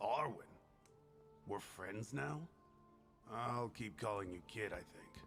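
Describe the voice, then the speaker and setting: A man uses a put-on, raspy character voice at medium pitch, speaking at a fairly slow pace with long, frequent pauses. Clear music plays in the background. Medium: video game. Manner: curt, guarded.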